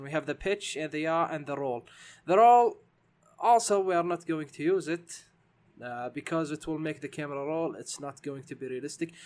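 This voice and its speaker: On a very clean recording with a silent background, a man with a non-native accent speaks at a moderate pace and fairly high pitch, his intonation lively. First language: not English. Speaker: game development tutorial maker. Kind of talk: tutorial. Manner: halting, many fillers.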